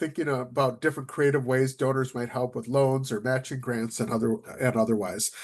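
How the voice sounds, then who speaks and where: A man with an American accent speaks at a fairly quick pace and a medium pitch against a quiet background. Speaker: nonprofit consultant and executive. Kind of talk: webinar presentation. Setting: online webinar. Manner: fast.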